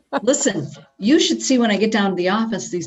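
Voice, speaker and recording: A woman's unremarkable speaking voice with lively intonation. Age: 50s. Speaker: prosecutor's office staff. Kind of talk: casual chat.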